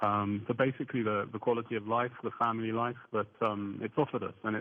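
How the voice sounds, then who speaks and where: A man with an English accent talks at a fairly quick pace. His pitch sits fairly low and his intonation stays fairly even. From southern England. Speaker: attorney and UFO researcher. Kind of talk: radio interview. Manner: hesitant, many fillers.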